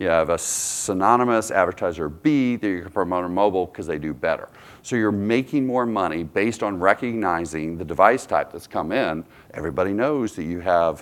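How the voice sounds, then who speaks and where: An unremarkable speaking voice from a man, fairly low-pitched and fairly quick, with ordinary pitch variation. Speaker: conference speaker. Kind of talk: conference talk.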